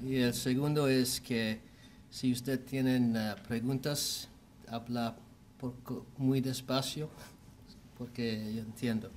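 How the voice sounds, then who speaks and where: A man with an American accent talks at a medium pitch in a monotone, flat intonation, very slowly and with long, frequent pauses. Audible room echo surrounds his voice. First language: English (speaking Spanish). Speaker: orthopedic surgeon. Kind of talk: medical lecture. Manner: halting, many fillers.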